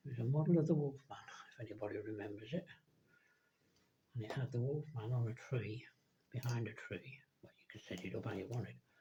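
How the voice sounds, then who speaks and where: A man speaks very fast with an English accent, his tone dark and mellow and somewhat breathy. His loudness swings widely, and he takes long, frequent pauses. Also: medium pitch for a man, ordinary pitch variation. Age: 70s. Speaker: scale model builder. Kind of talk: casual chat. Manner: rambling, self-correcting.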